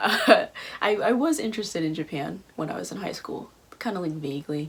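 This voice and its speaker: The speaker, with an American accent, talks at a fairly quick pace over noticeable background noise. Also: woman. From US South, Atlanta area. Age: 20s. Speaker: student vlogger. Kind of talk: casual vlog talk. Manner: casual, filler-heavy.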